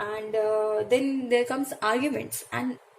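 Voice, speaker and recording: Very slow female speech over noticeable background noise. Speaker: tarot reader. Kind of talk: tutorial. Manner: halting, many fillers and self-corrections.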